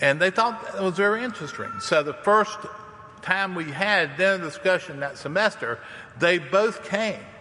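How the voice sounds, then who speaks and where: A man with a Southern US accent speaks in a raised, projected voice at a moderate pace. His pitch is high with ordinary variation, and background noise is noticeable. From US South. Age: 60s. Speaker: campus minister to international students. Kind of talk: sermon. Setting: church. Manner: informal, storytelling.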